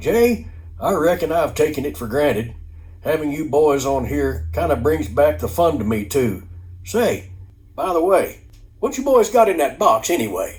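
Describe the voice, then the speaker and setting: With music playing in the background, a man does a growling put-on character voice, fairly high in pitch, at a moderate pace. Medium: read story. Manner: drawling, folksy.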